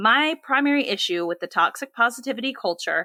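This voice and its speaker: A woman with an American accent speaks in a bright, sharp tone, recorded very cleanly against a silent background with a dry, close sound and no echo. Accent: Southern US, usually toned down. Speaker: podcast co-host. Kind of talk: casual chat.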